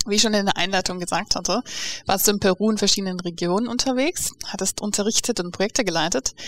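A woman talks very fast at a very even loudness with ordinary pitch variation, in a dry, close sound with no echo. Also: medium pitch for a woman. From Namibia. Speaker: podcast host. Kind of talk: interview. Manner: laughs often.

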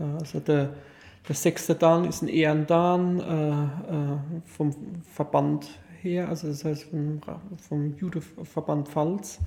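At a very slow pace with long, frequent pauses, a man speaks in a somewhat breathy, dark, mellow tone at a fairly high pitch with monotone, flat intonation. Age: 40s. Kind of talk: casual interview. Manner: halting, many fillers.

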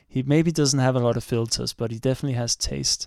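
With a Danish accent, a man talks at a medium pitch and fairly even intonation. The recording is very clean with a silent background and a dry, close sound with no echo. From Denmark. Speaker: astrophysicist. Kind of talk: casual chat. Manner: halting.

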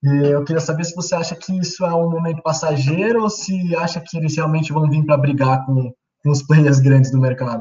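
This man has a plain, everyday voice, fairly high in pitch with ordinary variation, and he talks at a fairly quick pace. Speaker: student and sports website host. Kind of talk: interview. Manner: casual.

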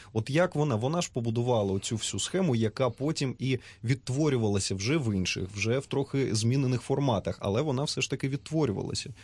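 Over a quiet background, a man speaks at a fairly quick pace in a somewhat breathy, medium-pitched voice with ordinary pitch variation. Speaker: radio host. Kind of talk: radio discussion. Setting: studio.

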